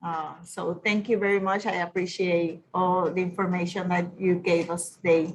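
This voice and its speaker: A woman with a Puerto Rican accent talks at a moderate pace with a fairly low pitch, somewhat breathy, in a monotone, flat intonation. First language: Spanish. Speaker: university staff attendee. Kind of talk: casual remarks in Q&A. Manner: halting.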